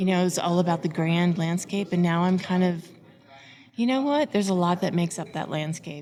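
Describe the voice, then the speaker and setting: Using an unremarkable speaking voice, a woman talks at a fairly quick pace with a fairly low pitch and ordinary pitch variation. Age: 60s. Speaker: photographer, conference attendee. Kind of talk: casual interview.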